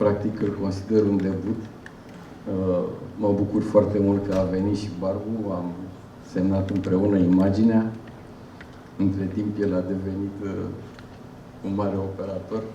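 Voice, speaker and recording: With audible room echo and noticeable background noise, a man speaks at a fairly low pitch in a monotone, flat intonation, leaving long, frequent pauses. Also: moderate pace. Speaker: cinematographer. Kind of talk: Q&A remarks. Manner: halting.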